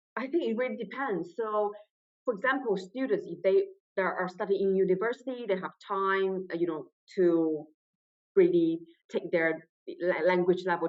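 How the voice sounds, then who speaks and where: A woman speaks at a medium pitch. She has a non-native accent. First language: not English. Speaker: trainee solicitor, exam candidate. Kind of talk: interview testimonial. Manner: halting, with repetitions.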